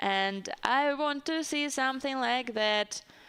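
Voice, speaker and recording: In a strong Russian accent, a woman speaks at a very slow pace with a high pitch, ordinary pitch variation and a bright, sharp tone. The recording is very clean, with a silent background. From Siberia, Russia. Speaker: chess commentator. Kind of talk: live commentary. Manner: hesitant, with fillers.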